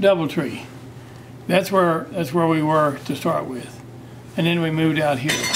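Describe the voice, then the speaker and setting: This man's voice sits fairly high and moves at a moderate pace. Room echo is audible, and background noise is noticeable. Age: 80s+. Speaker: feed store owner. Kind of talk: interview. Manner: halting.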